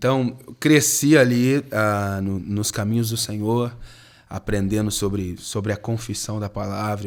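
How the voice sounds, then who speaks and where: On a very clean recording with a silent background, a man speaks in a normal speaking voice. His pitch is fairly low, his intonation fairly even and his pace moderate. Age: 20s. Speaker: pastor and worship musician. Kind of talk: podcast interview.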